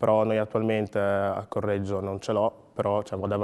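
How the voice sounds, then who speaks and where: A man's fairly low voice at a moderate pace. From Ghana, then Emilia-Romagna from age 11. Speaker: sprinter and logistics worker; interviewee. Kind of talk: interview. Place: studio.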